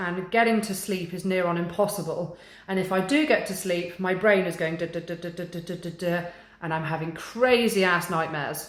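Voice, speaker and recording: Over noticeable background noise, a woman with a medium pitch speaks at a moderate pace with fairly even intonation. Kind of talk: casual talk to camera. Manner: monotone.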